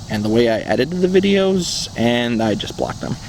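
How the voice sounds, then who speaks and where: A man's medium-pitched voice with an American accent, very wide pitch swings, and noticeable background noise. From central upstate New York. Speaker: dashcam YouTuber. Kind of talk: Q&A monologue.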